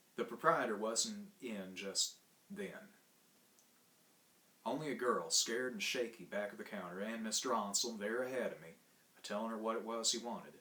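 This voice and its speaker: The speech has long, frequent pauses, big swings in loudness and ordinary pitch variation, with noticeable background noise throughout. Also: man, medium pitch for a man, moderate pace. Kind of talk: short story reading.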